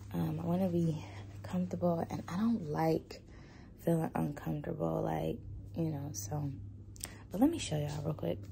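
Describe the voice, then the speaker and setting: The speaker's pitch swings very widely at a moderate pace, with long, frequent pauses. The voice is somewhat breathy and dark and mellow in tone, over light background noise. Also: woman, very deep, low pitch for a woman. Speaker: vlogger. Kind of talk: casual vlog chat. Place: home room. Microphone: phone near.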